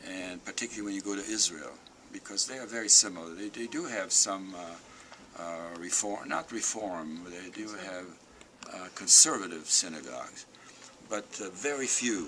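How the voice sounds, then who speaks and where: A man with a fairly low pitch speaks at a moderate pace, using ordinary pitch variation, while noticeable background noise runs behind him. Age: 80s+. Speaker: Holocaust survivor speaker. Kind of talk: talk to school students.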